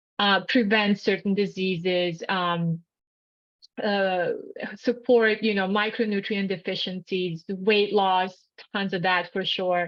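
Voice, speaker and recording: A woman with a Bosnian accent speaks very slowly at a medium pitch with monotone, flat intonation. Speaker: health coach and nutritionist. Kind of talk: educational seminar.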